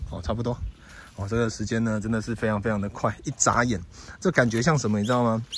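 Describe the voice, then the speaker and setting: The voice carries a Taiwanese accent and ordinary pitch variation. The sound is dry with no echo, over light background noise. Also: man. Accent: Taiwanese Mandarin. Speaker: pet vlogger; dog owner livestreamer. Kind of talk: casual vlog monologue; casual livestream chat. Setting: outdoors. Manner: halting, many filler particles. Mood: relaxed, reflective. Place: open country. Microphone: phone near.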